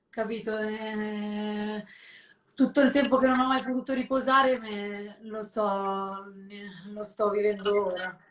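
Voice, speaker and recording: In a Lombard accent, a woman speaks at a very slow pace with a fairly high pitch. Her intonation is fairly even, though her loudness swings widely. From northern Italy, Lombardy (Sesto San Giovanni, Desio). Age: 20s. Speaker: fashion model. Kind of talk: casual interview. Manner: halting.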